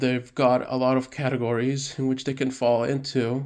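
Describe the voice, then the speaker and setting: A man with medium pitch talks at a moderate pace in a flat monotone over a quiet background. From southern Mexico (partly). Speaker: podcast host. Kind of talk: casual chat. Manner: halting, many fillers.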